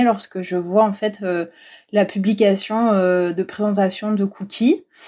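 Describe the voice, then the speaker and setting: A woman's voice sits at medium pitch with a dark, mellow tone and fairly even intonation. The recording is very clean, with a silent background. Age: 30s. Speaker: dog owner who visits castles. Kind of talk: casual interview.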